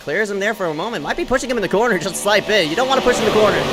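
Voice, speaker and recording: A man's voice with noticeable background noise. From Philippines. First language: not English. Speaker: sim racing commentator. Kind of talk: live commentary. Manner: animated.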